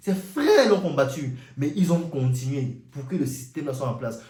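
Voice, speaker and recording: A man with an African accent, animated in tone, with audible room echo. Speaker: YouTuber, commentator. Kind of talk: monologue rant.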